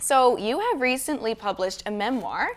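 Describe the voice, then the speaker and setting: A woman speaks at a moderate pace and high pitch with lively intonation, amid noticeable background noise. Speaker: student journalist, podcast host. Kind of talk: podcast interview host.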